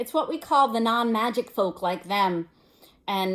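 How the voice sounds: The voice is a natural reading voice. It carries through the whole clip.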